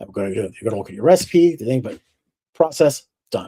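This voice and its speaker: Somewhat breathy and dark, mellow in tone, a man talks at a very fast pace with lively intonation. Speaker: distiller. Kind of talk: lecture.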